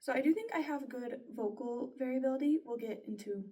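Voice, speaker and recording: At a fairly slow pace, a woman with a dark, mellow tone speaks with ordinary pitch variation. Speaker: student voice performer. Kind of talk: spoken self-reflection. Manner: conversational.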